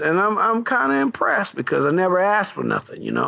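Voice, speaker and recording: A man with noticeable background noise. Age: 40s. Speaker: podcast co-host. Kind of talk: casual chat.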